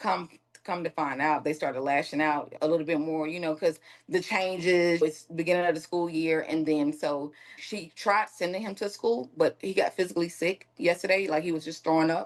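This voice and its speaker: At a moderate pace, a woman with a fairly low pitch and a Southern US accent speaks with fairly even intonation. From Mississippi. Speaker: victim's aunt. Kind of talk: interview.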